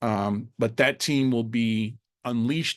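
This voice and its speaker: A man talks at a very slow pace and a medium pitch, his intonation fairly even. The sound is dry and close with no echo over a quiet background. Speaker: cybersecurity instructor. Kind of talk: presentation on a video call. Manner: halting, many fillers and restarts.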